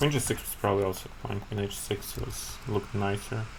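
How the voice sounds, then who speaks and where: Somewhat breathy, a man speaks at a moderate pace. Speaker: chess streamer. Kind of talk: live game commentary. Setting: live stream.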